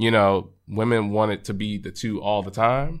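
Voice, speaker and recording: A man with an American accent speaks in an ordinary speaking voice at a moderate pace, his fairly low pitch and fairly even intonation captured in a very clean recording with a silent background. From Texas, Arlington near Dallas. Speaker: podcast guest. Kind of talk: casual chat.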